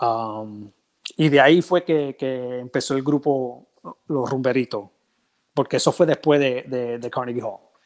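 A man talks at a fairly slow pace and medium pitch. His pitch varies in an ordinary way over a quiet background. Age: 50s. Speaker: percussionist; interview guest. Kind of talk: casual interview. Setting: video call from home. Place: home room. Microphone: earbuds.

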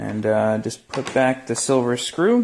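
Vocal fry runs through a man's speech as he talks at a slow pace. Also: slightly mellow tone.

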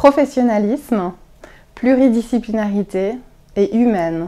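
At a very slow pace, a woman speaks in a fairly high voice with a dark, mellow tone. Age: 30s. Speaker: clinic deputy director. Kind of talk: interview answers. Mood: warm, smiling. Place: office.

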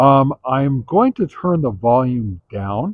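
A man speaks at a medium pitch and a slow pace, with big pitch swings. The sound is dry and close, with no echo.

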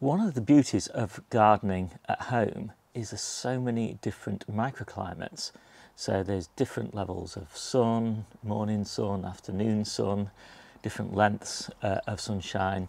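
With an unremarkable speaking voice, a man talks at a fairly low pitch and with fairly even intonation. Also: moderate pace, dry sound with no echo. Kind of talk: casual vlog chat. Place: garden. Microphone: lapel.

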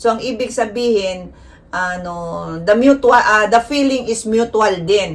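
Moderately paced speech from a woman, fairly high in pitch. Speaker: vlogger. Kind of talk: informal tutorial to camera. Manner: flat, not sweet-toned; direct, plain delivery.

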